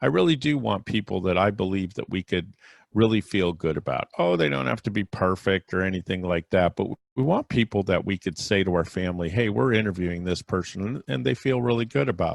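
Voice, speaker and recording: A man with a very deep, low voice speaks quietly at a fairly quick pace. His intonation is lively. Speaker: celebrity podcast host. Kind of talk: solo podcast monologue. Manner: low, quiet voice.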